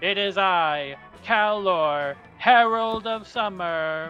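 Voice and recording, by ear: A put-on character voice at middle pitch moves along at a very slow pace. Clear music plays in the background.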